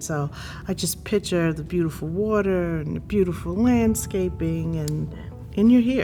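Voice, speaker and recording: A woman talks at a fairly slow pace. Music runs in the background. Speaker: talk show host. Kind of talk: interview questions.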